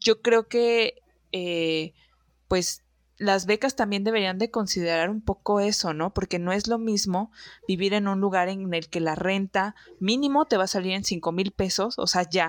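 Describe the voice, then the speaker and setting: The speech moves at a fairly slow pace with ordinary pitch variation, recorded dry and close with no echo. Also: woman, medium pitch for a woman. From Xalapa, Veracruz, Mexico. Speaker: podcast host. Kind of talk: casual chat. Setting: video call.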